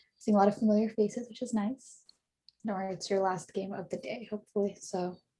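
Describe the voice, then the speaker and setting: A woman's medium-pitched, dark and mellow voice, somewhat breathy, monotone and flat, at a very fast pace. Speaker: quiz moderator. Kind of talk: event moderation on video call.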